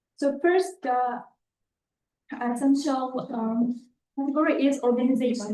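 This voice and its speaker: At a fairly slow pace, a woman with an Uzbek accent speaks in a high pitch with a dark, mellow tone and fairly even intonation. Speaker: master's applicant. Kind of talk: oral exam answer. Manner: halting.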